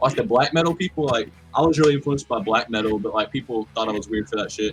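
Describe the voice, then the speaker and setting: A man rattles along at a very fast pace, his pitch varying in an ordinary way while music plays in the background. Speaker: music collective member. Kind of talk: casual chat.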